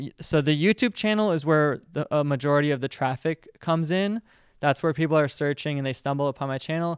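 On a very clean recording with a silent background, a man with an ordinary speaking voice talks at a fairly high pitch and fairly quick pace, with ordinary pitch variation. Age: 20s. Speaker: YouTuber and video editor. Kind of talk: talk to students with Q&A. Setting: classroom with student audience. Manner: casual, filler-heavy.

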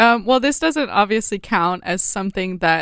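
A woman speaks in an animated tone with a bright, sharp quality, recorded very cleanly against a silent background with a dry, close sound and no echo. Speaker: podcast host, church singer. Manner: animated, laughing.

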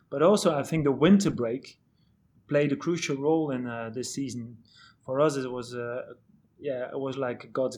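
A man with a Dutch accent speaks at a moderate pace and a fairly high pitch, with ordinary pitch variation. The recording is very clean, with a silent background. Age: 40s. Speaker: head of medical and performance at a football club. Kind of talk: podcast interview.

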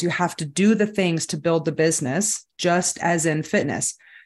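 A woman with an American accent talks at a moderate pace and a fairly low pitch. It is an ordinary speaking voice, set against a quiet background. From Southern California. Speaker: fitness and macros coach. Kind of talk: casual interview chat.

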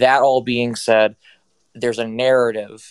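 Recorded very cleanly against a silent background, with a dry, close sound and no echo, a man speaks at medium pitch in a monotone, flat intonation at a fairly slow pace. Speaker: caller on a sports talk stream. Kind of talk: casual sports opinion call.

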